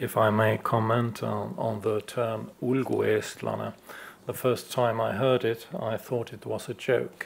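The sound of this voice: Slow and with little pitch movement, a man talks at a fairly low pitch with vocal fry.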